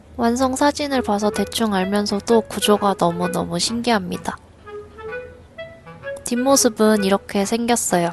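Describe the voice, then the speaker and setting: Music plays behind a woman who speaks fairly slowly at a very even loudness, leaving long, frequent pauses. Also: medium pitch for a woman, ordinary pitch variation. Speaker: knitting vlogger. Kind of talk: casual knitting vlog narration.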